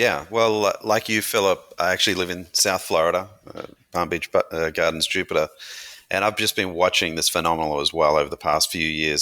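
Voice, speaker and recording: At a fairly quick pace, a man speaks with an Australian accent. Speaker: brand founder and CEO. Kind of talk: interview.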